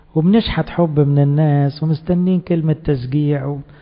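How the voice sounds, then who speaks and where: A fairly slow pace and fairly even intonation. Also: man. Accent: Egyptian. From Egypt. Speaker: priest; priest giving a sermon. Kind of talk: sermon. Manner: conversational. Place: church. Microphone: handheld.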